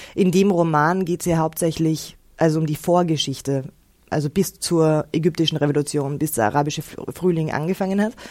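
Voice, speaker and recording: A woman's dark, mellow, fairly low voice at a moderate pace, with ordinary pitch variation. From Austria, Innsbruck. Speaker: actress and author. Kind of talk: interview.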